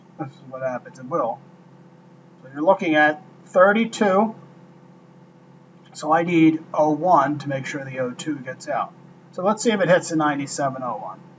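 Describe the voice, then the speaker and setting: A man with a fairly high pitch talks at a moderate pace, with lively intonation and big swings in loudness. Long, frequent pauses break up his speech over noticeable background noise. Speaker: trading mentor. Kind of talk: trade review tutorial.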